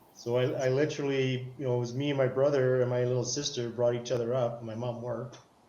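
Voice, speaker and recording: The speech comes very fast in a Canadian accent, with hardly any pauses and a monotone, flat intonation. There is noticeable background noise and audible room echo. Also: man, medium pitch for a man. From Canada. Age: 60s. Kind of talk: casual chat. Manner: halting.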